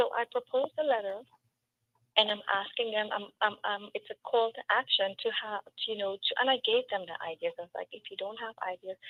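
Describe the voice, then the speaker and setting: A woman with a Trinidadian accent talks at a fairly quick pace, her loudness swinging widely. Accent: Trinidadian accent, noticeable throughout. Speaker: local political candidate. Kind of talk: interview on a community talk show. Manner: emphatic.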